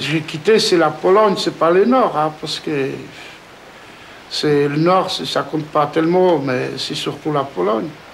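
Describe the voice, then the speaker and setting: There is noticeable background noise behind a man with a fairly high pitch. He talks at a fairly slow pace. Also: lively intonation. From Poland. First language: Polish (speaking French). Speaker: villager, father of large family. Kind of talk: interview testimony. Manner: halting.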